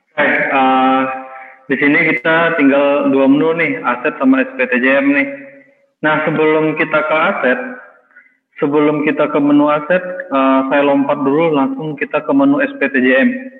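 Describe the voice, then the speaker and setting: The speaker holds a moderate pace with very even loudness and fairly even intonation. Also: man, fairly high pitch for a man. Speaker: software trainer. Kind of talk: tutorial.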